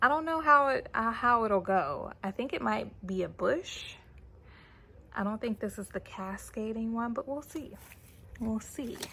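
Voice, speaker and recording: Fairly slow, lively intonation and fairly high pitch from a woman with a normal speaking voice. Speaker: gardening youtuber. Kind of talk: casual vlog tutorial.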